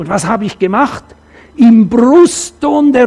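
A man speaks at a fairly slow pace. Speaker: preacher. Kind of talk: sermon in church, with a personal anecdote and a closing prayer. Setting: church. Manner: earnest, conversational, animated when telling stories.

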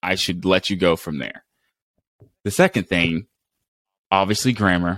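A man with an American accent speaks at a very deep, low pitch in an animated tone. The sound is dry and close with no echo, in a very clean recording with a silent background. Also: moderate pace. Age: 20s. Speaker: podcast host and Marine Corps veteran. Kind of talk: casual interview chat.

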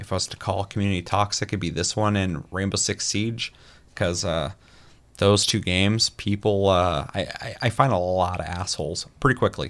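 Recorded very cleanly against a silent background, a man with a plain, everyday voice speaks fairly quickly at a fairly low pitch with fairly even intonation. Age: 30s. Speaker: gaming podcast host. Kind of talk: casual chat. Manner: profane.

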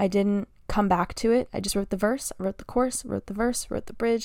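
Using a normal speaking voice, a woman talks at a fairly quick pace with fairly even intonation. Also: very clean recording, silent background. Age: 20s. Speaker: singer and podcaster. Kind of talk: solo podcast monologue, casual and conversational. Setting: home, sitting in a room with a microphone.

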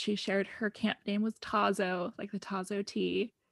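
A woman with a General American accent and an ordinary speaking voice talks at a fairly slow pace in a medium pitch. The recording is very clean, with a silent background. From US West (Oregon and Arizona). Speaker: guest telling her life story.

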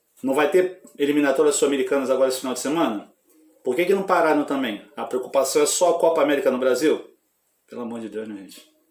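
This man talks at a very fast pace in a fairly high voice, with ordinary pitch variation. His loudness swings widely. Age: 40s. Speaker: football fan YouTuber. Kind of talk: casual football talk vlog. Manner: animated.

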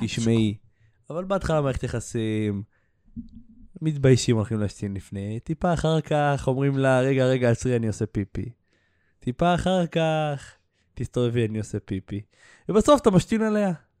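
Over a quiet background with a dry, close sound and no echo, a man of medium pitch with a dark, mellow tone speaks at a moderate pace, using very wide pitch swings and long, frequent pauses. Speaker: podcast host and social media creator. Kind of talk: casual chat.

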